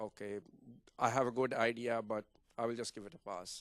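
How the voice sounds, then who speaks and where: A man talks at a medium pitch with fairly even intonation. The sound is dry and close, with no echo. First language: not English. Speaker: toastmasters member, analyst and teacher. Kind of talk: interview at club open house. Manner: soft-spoken; halting, many fillers.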